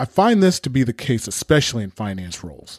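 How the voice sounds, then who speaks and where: A man speaks with an American accent. The sound is dry and close with no echo, in a very clean recording with a silent background. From Southern California. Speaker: podcast host. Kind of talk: scripted monologue.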